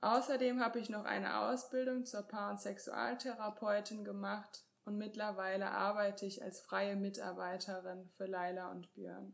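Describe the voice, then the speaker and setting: A woman talks at a moderate pace in a plain, everyday voice. Her pitch is medium and her intonation fairly even. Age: 20s. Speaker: co-host, couples and sex therapist. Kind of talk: self-introduction.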